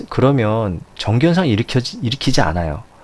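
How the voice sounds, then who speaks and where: A man's medium-pitched voice carries lively intonation and keeps a moderate pace. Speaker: science teacher. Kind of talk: lecture. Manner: halting, self-correcting.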